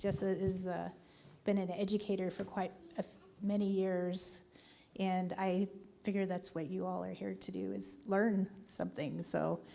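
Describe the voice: A woman's dark, mellow tone with vocal fry, at a fairly slow pace.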